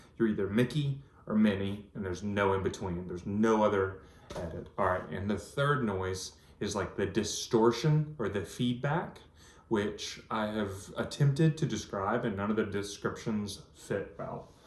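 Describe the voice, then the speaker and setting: A man talks at a moderate pace with a fairly low pitch. Room echo is audible. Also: ordinary pitch variation. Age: 30s. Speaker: vlogger with cochlear implant. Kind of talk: personal video diary. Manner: casual, hesitant with fillers.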